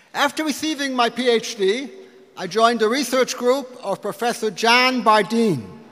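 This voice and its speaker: Against noticeable background noise, a man with an American accent speaks at an extremely high pitch, with ordinary variation and a moderate pace. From US Midwest, Detroit. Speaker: physics professor. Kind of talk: speech to donors at a lunch. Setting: lunch event with audience. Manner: halting at times.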